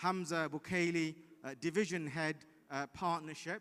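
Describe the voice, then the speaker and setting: A loud man's voice, bright and sharp in tone, fairly high-pitched, at a fairly slow pace. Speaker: legal division head. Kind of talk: prize announcement speech. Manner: hesitant, many fillers.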